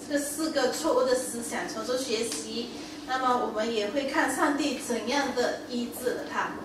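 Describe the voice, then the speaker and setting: A woman with a high pitch speaks at a fairly slow pace amid noticeable background noise and audible room echo. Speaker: preacher. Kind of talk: sermon. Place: church.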